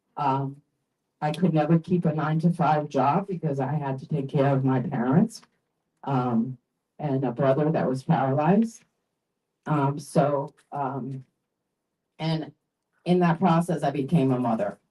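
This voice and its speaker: A woman's very deep, low, somewhat breathy voice, dark and mellow, at a fairly slow pace with long, frequent pauses and ordinary pitch variation. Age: 60s. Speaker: health insurance enrollee sharing her story. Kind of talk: testimony. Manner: halting.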